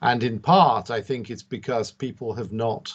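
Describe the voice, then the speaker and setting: Fairly low in pitch, a man speaks with a British accent. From UK. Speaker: industry panelist. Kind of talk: panel discussion.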